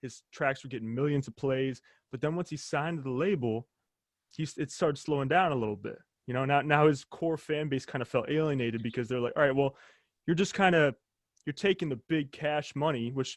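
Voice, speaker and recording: Recorded dry and close with no echo against a quiet background, a man with an American accent uses a normal speaking voice, fairly high in pitch, fairly quick in pace and ordinary in pitch variation. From United States. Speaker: podcast host. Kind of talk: casual interview chat.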